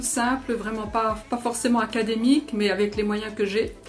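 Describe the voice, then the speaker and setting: The speech unfolds at a moderate pace. Noticeable background noise sits behind it. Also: woman. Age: 60s. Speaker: amateur painter, church member. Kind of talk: interview testimony. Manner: halting, many hesitations.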